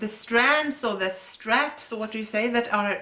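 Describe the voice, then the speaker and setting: A woman speaks with a Swedish accent in a bright, sharp tone. Her pitch varies in an ordinary way. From Sweden. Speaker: yarn dyer and shop owner; co-host. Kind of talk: casual chat.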